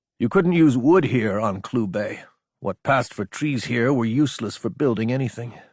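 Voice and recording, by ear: Reading aloud in a natural voice, with lively intonation and a quiet background.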